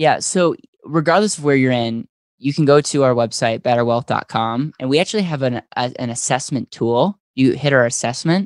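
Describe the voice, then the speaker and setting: A man with a plain, everyday voice speaks at a moderate pace in a fairly high pitch with ordinary pitch variation. The recording is very clean with a silent background, dry and close with no echo. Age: 20s. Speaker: financial services entrepreneur. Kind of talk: interview.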